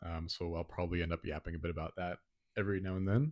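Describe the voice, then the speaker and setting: Soft-spoken, a man with an American accent talks at a very deep, low pitch, in a very clean recording with a silent background that sounds dry and close with no echo. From Botswana. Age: young. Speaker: podcast co-host, engineering student. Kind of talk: casual chat. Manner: quiet, soft-spoken. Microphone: handheld mic held close to mouth.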